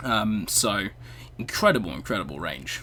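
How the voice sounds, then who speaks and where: A man's bright, sharp tone with vocal fry and a British accent. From Britain. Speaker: music reaction youtuber. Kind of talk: video reaction commentary. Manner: hesitant, many fillers.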